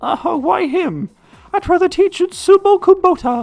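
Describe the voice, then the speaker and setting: Over faint music in the background, a squeaky put-on character voice sits at an extremely high pitch. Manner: exaggerated, cartoonish.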